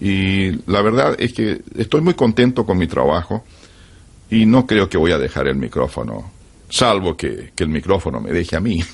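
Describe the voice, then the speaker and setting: A man speaks at a very deep, low pitch with vocal fry. His intonation is lively. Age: 70s. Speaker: veteran radio announcer. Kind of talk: interview.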